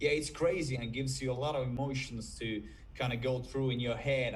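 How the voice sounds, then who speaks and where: A somewhat breathy man with a Finnish accent speaks with ordinary pitch variation, and audible room echo surrounds him. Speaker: rock band vocalist. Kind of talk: interview. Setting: video call.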